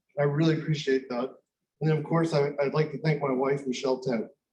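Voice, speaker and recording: Fairly quick, somewhat breathy speech from a man with a fairly high pitch. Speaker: company president presenting research. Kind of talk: conference pitch presentation. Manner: repeats words, slightly halting.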